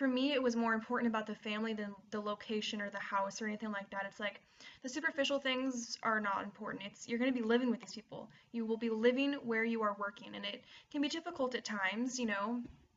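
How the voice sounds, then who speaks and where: Against noticeable background noise, a woman with an American accent and a fairly high pitch talks at a very fast pace. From USA. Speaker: au pair vlogger. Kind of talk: casual vlog advice. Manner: animated.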